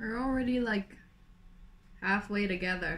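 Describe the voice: Raspy and fairly bright in tone, a woman speaks at a medium pitch and a fairly slow pace with ordinary pitch variation. Audible room echo surrounds her voice.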